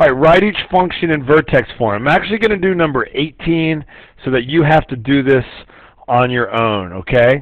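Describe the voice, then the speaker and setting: A man's voice at a moderate pace, a normal speaking voice with lively intonation. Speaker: math teacher. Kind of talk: tutorial. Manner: casual.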